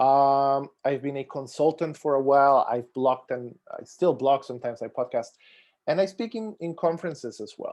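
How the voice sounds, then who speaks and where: A man with a Costa Rican accent speaks at a fairly high pitch against a quiet background. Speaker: software testing expert and conference speaker. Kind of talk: conference talk. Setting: video call.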